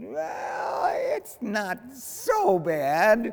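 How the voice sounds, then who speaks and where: A man puts on a character voice, pitched high and swinging very widely up and down. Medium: read story.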